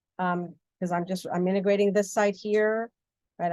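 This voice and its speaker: Very fast and with fairly even intonation, a woman speaks in a dark, mellow tone. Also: dry, close sound with no echo. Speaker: physics instructor. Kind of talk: lecture. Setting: recorded video lesson.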